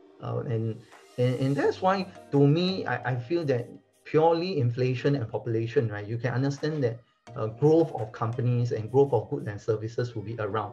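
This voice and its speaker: With faint music in the background, a man talks at a fairly quick pace with ordinary pitch variation. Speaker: investment educator. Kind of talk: casual explainer talk to camera. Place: home room.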